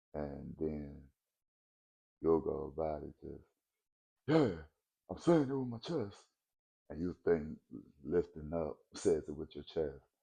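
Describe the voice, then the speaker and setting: Soft-spoken, a man talks at a very slow pace with big swings in loudness and long, frequent pauses. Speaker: vlogger. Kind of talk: casual monologue vlog.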